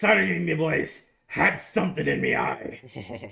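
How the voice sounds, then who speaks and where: Putting on a character voice, a man talks at a fairly slow pace, his fairly high pitch making very wide swings. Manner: snarky.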